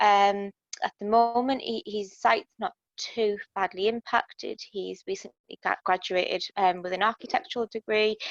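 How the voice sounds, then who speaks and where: A woman with a British accent is heard in dry, close sound with no echo. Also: ordinary pitch variation, moderate pace. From UK. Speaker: support group participant, sibling of patient. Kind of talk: casual chat.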